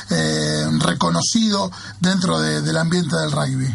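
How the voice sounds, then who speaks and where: A man at a fairly slow pace, with audible room echo and noticeable background noise. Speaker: radio host. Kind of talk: radio sports show. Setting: radio studio.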